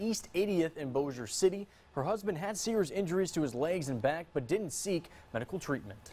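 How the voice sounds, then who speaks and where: In an ordinary speaking voice, a man talks at a fairly quick pace with lively intonation. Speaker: TV news anchor. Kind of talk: TV news read. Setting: studio.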